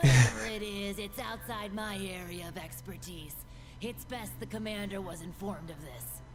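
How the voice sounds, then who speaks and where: Someone performs a put-on character voice at a moderate pace over loud background noise. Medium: machinima. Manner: friendly, talkative.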